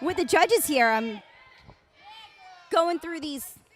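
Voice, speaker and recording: Through noticeable background noise, a woman with an American accent talks at a fairly slow pace with lively intonation. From Florida. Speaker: live stream commentator. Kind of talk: live commentary. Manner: soft-spoken.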